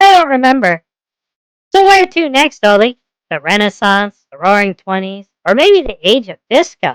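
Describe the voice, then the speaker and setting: A female-sounding put-on character voice talks at a moderate pace with a fairly high pitch. Its pitch swings very widely. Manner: sarcastic.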